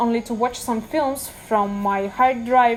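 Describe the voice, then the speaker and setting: With a Russian accent, a woman speaks at a high pitch with fairly even intonation over noticeable background noise. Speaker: lifestyle vlogger. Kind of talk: casual vlog talk.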